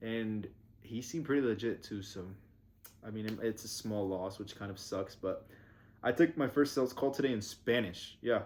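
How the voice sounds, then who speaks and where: This is a man with a normal speaking voice and ordinary pitch variation. Nothing can be heard behind him on the very clean recording, where the background is silent. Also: medium pitch for a man, moderate pace. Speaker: vlogger and small agency owner. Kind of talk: casual vlog. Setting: basement restroom at home. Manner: casual, rambling pace.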